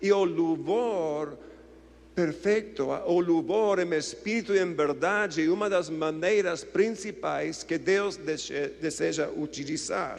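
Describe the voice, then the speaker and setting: A man with a non-native accent talks at a very slow pace in a high voice. The room gives off audible echo. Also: ordinary pitch variation. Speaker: visiting preacher. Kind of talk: sermon. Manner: halting; calm, not dramatic.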